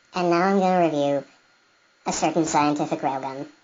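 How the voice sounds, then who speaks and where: A put-on, squeaky character voice of middle pitch at a fairly quick pace. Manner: mock, pretend.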